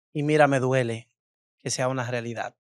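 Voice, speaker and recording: A man at a fairly slow pace with ordinary pitch variation, in a dry sound with no echo over a quiet background. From Dominican Republic, Cibao region (Tenares, San Francisco de Macorís); Dominican Republic. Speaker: influencer and beauty salon owner; influencer. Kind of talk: casual interview. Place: studio. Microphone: studio mic.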